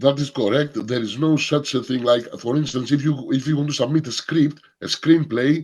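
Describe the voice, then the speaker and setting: A Greek accent at a moderate pace, with hardly any pauses and fairly even intonation. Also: man, fairly high pitch for a man. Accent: Greek accent, non-native English. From Greece. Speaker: film workshop leader. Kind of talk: workshop Q&A. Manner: halting, repeats words.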